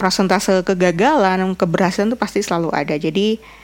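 The speech keeps a moderate pace and ordinary pitch variation. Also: woman. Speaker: podcaster and content creator. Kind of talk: solo casual vlog-style podcast. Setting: bedroom.

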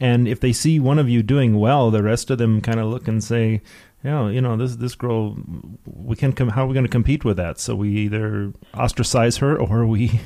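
A man with an ordinary speaking voice and an American accent talks at a medium pitch and moderate pace, with fairly even intonation. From US, Detroit. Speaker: radio host. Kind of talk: radio interview. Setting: studio.

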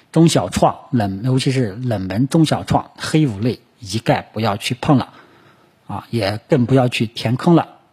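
A somewhat breathy man at a fairly slow pace, with lively intonation. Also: medium pitch for a man. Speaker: stock market commentator. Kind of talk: market analysis monologue. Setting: solo recording for video and podcast. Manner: frequent filler particles and hesitations.

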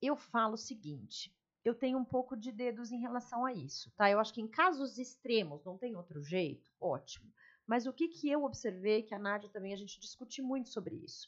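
With an ordinary speaking voice, a woman talks at a fairly high pitch and moderate pace, her intonation lively and her loudness swinging widely. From São Paulo. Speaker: lawyer turned fashion store owner and mentor. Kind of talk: casual interview.

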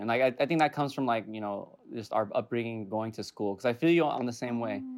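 An ordinary speaking voice from a man, fairly quick in pace, with ordinary pitch variation. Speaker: camera operator and co-host. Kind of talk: casual chat.

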